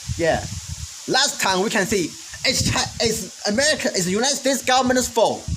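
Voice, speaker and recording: Fairly quick speech with a Chinese accent over noticeable background noise. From China. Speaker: vlogger. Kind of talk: opinion monologue. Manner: halting.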